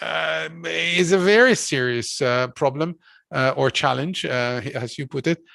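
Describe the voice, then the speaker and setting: Someone with a Hungarian accent speaks at a very slow pace against a quiet background. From Hungary. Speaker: philosopher and course lecturer. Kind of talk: academic lecture discussion. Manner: hesitant, many fillers.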